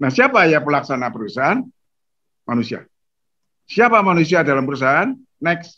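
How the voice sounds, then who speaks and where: Pausing long and often, a man with a fairly high pitch and a bright, sharp tone swings his pitch very widely over a quiet background. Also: fairly quick pace. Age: 80s+. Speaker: retired banking executive and author. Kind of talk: lecture. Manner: formal.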